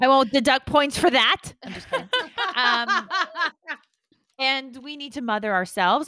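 In a very clean recording with a silent background, a woman's high, raised and projected voice has a bright, sharp tone, very wide pitch swings and a fairly slow pace. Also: dry, close sound with no echo. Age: 30s. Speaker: podcast host. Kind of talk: casual comedic chat.

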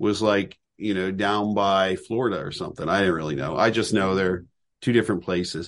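A man speaks with an American accent in an unremarkable speaking voice, his pitch fairly low. His pace is moderate, his pitch variation ordinary, and the background quiet. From Southern California. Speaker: reptile sanctuary founder and educator. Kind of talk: casual interview.

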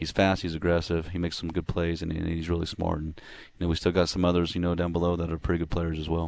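Very fast and flat in intonation, a man speaks at a very deep, low pitch on a very clean recording with a silent background. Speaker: football coach. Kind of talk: radio interview, talking about his team. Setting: live at a restaurant.

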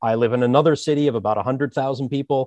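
A man speaks in an ordinary speaking voice with an American accent, at medium pitch with ordinary pitch variation, recorded dry and close with no echo against a quiet background. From US, Philadelphia area. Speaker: user experience designer. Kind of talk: interview.

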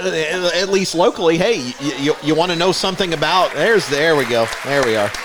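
Crowd noise fills the background as the speaker keeps a moderate pace with hardly any pauses, very even loudness and lively intonation. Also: man, fairly high pitch for a man. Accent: American. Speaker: podcast co-host and teacher. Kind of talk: casual banter.

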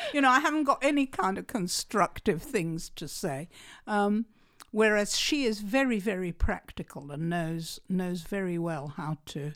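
Medium-pitched female voice at a fairly slow pace, with very wide pitch swings, in a very clean recording against a silent background. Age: 70s. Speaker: author. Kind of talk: interview. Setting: studio.

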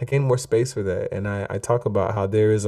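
A man speaks at a fairly quick pace, his fairly low pitch carrying a dark, mellow tone. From US, Jamaican immigrant family. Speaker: author and singer-songwriter. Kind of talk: casual interview chat.

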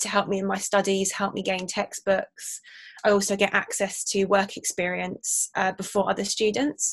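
Speaking with an English accent, a woman keeps a medium pitch and a flat, monotone delivery. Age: 20s. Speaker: university student. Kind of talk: interview.

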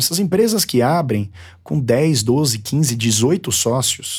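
With a São Paulo accent, a man speaks at a medium pitch in a somewhat breathy voice with very wide pitch swings, on a very clean recording with a silent background. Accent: São Paulo Brazilian Portuguese. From São Paulo, Brazil. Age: 30s. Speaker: barbershop owner and brand entrepreneur. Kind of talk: interview. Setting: studio.

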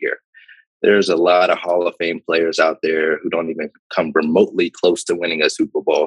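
A man with an American accent at a fairly quick pace, in a dry, close sound with no echo. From Pittsburgh, Pennsylvania. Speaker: former football player and startup founder. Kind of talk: interview.

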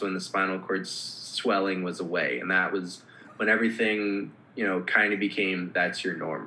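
Speaking at a moderate pace with an American accent, a man with a fairly low voice is heard over noticeable background noise. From Minnesota, Minneapolis. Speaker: former hockey player with spinal cord injury. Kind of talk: casual interview.

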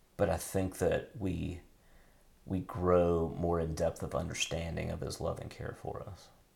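Amid audible room echo, a man speaks at a very slow pace with long, frequent pauses. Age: 50s. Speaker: podcast host and pastor. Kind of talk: casual chat. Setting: home bathroom. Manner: halting.

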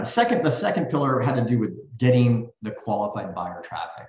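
Talking at a very fast pace in an American accent, a man is heard with audible room echo. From US West Coast (Silicon Valley). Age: 50s. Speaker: real estate executive. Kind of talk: interview.

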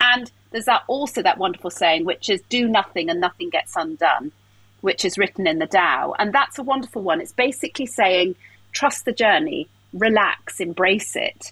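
Bright and sharp in tone, a voice with an English accent swings very widely in pitch at a moderate pace, with a dry, close sound and no echo. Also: woman, medium pitch for a woman. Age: 40s. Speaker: life coach. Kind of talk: casual interview.

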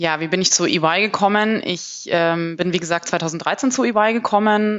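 This woman has a plain, everyday voice with a fairly low pitch and ordinary pitch variation. She speaks at a moderate pace. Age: 30s. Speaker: management consultant. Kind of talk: interview.

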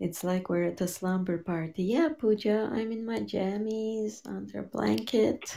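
Soft-spoken and fairly slow, a woman talks with hardly any pauses. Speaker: radio show co-host and tango teacher. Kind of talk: casual chat.

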